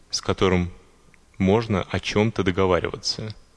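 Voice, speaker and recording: Here a man is speaking. His pace is fairly slow. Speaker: fellow podcaster voicing a translation. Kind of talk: reading aloud.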